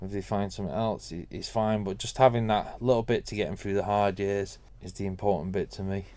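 Very fast and with hardly any pauses, a man speaks at a fairly low pitch with a dark, mellow tone. His intonation is fairly even, though his loudness swings a lot. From Manchester, northern England. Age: 40s. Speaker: garage owner and racing father. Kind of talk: interview conversation.

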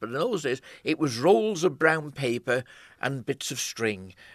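A man speaks in a Manx accent with lively intonation at a moderate pace. The background is quiet, and the sound is dry and close with no echo. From Isle of Man. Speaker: photographer. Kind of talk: interview.

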